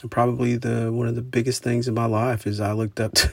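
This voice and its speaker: The recording is very clean, with a silent background. A man speaks at a fairly quick pace and medium pitch with monotone, flat intonation. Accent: American. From southeastern Oklahoma, US. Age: 40s. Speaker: podcaster and musician. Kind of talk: solo monologue podcast. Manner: halting, many fillers; informal, conversational.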